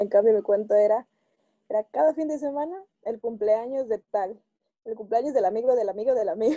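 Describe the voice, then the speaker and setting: Dry and close with no echo, a woman's fairly high voice carries a dark, mellow tone at a fairly quick pace. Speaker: student. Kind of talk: casual chat.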